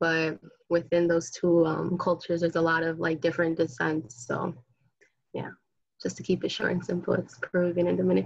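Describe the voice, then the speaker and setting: A woman with a normal speaking voice and a fairly low pitch. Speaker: college student. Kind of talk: interview.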